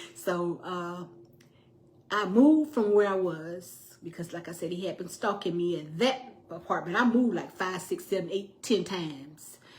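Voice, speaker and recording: A somewhat breathy woman's voice at medium pitch, moderate in pace, with lively intonation and an animated tone. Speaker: domestic violence survivor telling her story. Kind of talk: personal storytelling to viewers.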